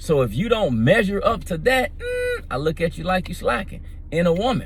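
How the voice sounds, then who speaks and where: A man's somewhat breathy voice at a fairly slow pace, with very wide pitch swings and audible room echo. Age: 50s. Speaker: vlogger. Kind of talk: casual monologue.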